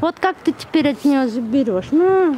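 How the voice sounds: A woman speaks at a moderate pace in a high voice with lively intonation and a dark, mellow tone. Faint background noise can be heard.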